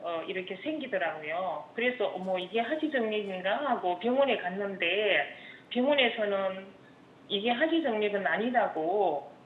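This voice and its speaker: Noticeable background noise and audible room echo accompany a woman's medium-pitched voice. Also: lively intonation, fairly slow pace. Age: 60s. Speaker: caller, housewife. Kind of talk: phone-in caller describing symptoms. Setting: phone call.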